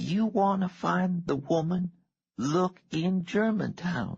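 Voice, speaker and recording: A woman performs a put-on character voice at a fairly low pitch. She speaks at a very slow pace. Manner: flat, emotionless.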